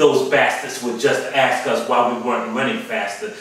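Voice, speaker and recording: Background noise is clearly audible. Through it, a man talks. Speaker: spoken word poet. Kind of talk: spoken word poetry performance. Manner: emphatic, rhythmic, performed delivery.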